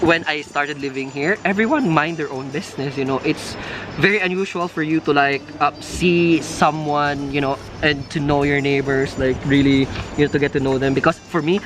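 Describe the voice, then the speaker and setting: A man speaks fairly quickly with a Filipino accent, his pitch fairly high. His intonation stays fairly even over noticeable background noise. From Philippines. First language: Filipino language. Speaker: nurse vlogger. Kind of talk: casual chat. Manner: halting, many fillers.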